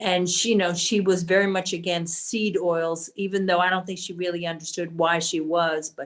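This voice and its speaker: A woman's fairly low voice with monotone, flat intonation, a moderate pace and hardly any pauses. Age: 60s. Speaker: support group member. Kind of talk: casual chat.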